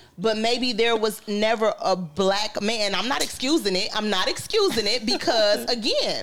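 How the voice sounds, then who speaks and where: A woman's fairly high voice at a moderate pace, with ordinary pitch variation, very even loudness and hardly any pauses, over noticeable background noise. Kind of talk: casual chat.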